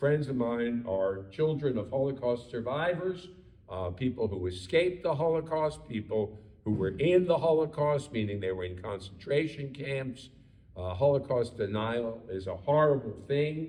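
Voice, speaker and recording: Heard with audible room echo, a man with an American accent uses lively intonation at a moderate pace, his medium-pitched voice somewhat breathy with a dark, mellow tone. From Baltimore, Maryland, US. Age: 70s. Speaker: rabbi. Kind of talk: lecture. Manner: hesitant, many fillers.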